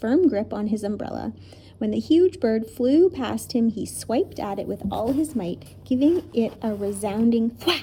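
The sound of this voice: An unforced reading voice is what the recording holds.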